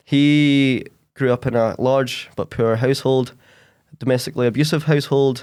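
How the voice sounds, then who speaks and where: On a very clean recording with a silent background, a man with a west of Scotland accent speaks with fairly even intonation. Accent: west of Scotland Scottish. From Scotland, Ayrshire west coast. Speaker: podcaster and stand-up comedian. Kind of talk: casual chat.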